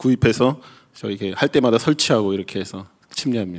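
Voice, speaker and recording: A man with a medium-pitched, unremarkable speaking voice talks at a fairly quick pace with lively intonation. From South Korea. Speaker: pastor. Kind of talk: sermon.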